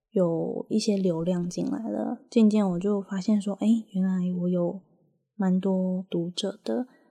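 A woman with a Taiwanese accent speaks at a fairly slow pace in a medium pitch, somewhat breathy, with a dark, mellow tone. Her pitch variation is ordinary, and the background is quiet. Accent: Taiwanese Mandarin. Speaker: podcast host. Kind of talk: casual monologue.

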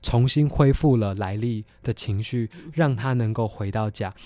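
A man with a dark, mellow tone talks at a fairly slow pace, his medium pitch showing ordinary variation. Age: 20s. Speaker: theology student and film commentator. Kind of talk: film discussion interview.

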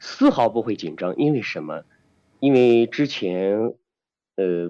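Against a quiet background, a man speaks at a fairly slow pace. His tone is dark and mellow, with lively intonation. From Xi'an, China. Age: young. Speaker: singer and opera performer. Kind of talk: interview.

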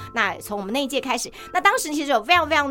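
A woman's voice with very wide pitch swings against noticeable background noise. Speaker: podcast host. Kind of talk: casual interview.

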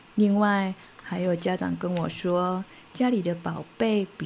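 A woman's somewhat breathy, dark, mellow voice at a very slow pace. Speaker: children's storyteller. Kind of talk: talk to parents. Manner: animated.

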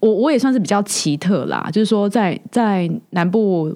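In a normal speaking voice, a woman talks at a medium pitch with lively intonation. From southern Taiwan. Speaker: podcast host. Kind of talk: casual interview chat.

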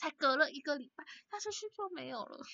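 A woman speaks at a fairly quick pace. Her pitch is high and swings very widely. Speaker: podcast co-host. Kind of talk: casual chat. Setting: video call. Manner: frequent laughter.

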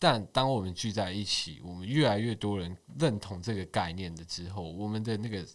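A man with an unremarkable speaking voice and fairly low pitch talks at a moderate pace with hardly any pauses. His loudness swings widely in a very clean recording with a silent background. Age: 20s. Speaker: social media page admin. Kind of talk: casual chat.

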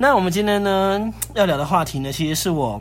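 There is audible room echo as a man speaks. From northern Taiwan, Sanchong. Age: 30s. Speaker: podcast host. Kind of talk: casual chat.

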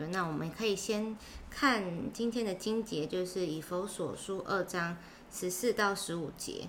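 Against noticeable background noise, a woman speaks at a medium pitch and a fairly slow pace, with ordinary pitch variation. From Taiwan, Chiayi. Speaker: Bible reading podcast co-host. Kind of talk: casual Bible study discussion.

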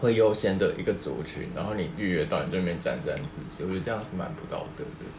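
Rushing at a very fast pace with hardly any pauses, a man speaks in a Taiwanese accent amid audible room echo and noticeable background noise. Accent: Taiwanese Mandarin. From Taiwan, rural area. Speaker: podcast co-host. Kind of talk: casual chat.

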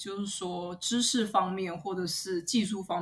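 A woman's somewhat breathy voice. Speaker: podcast host. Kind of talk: interview; scripted outro.

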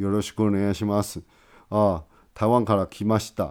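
Fairly low male voice with a Taiwanese accent at a fairly quick pace, in a very clean recording with a silent background. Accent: Taiwanese Mandarin. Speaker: podcast host. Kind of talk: casual monologue. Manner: many filler words; halting, repetitive. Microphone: new microphone.

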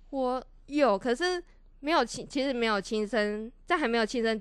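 The background is quiet as a woman speaks. Her pace is moderate and her pitch variation ordinary. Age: 20s. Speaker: social work student. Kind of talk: casual interview chat.

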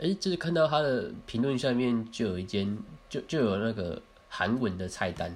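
Speaking at a moderate pace, a man uses a medium pitch with very wide pitch swings. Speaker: podcast co-host. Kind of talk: casual chat. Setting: recording at co-host's home.

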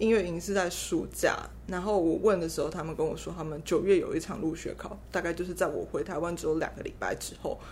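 A woman talking at a very fast pace with hardly any pauses, with audible room echo. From Taiwan. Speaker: concert pianist. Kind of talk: interview. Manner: halting.

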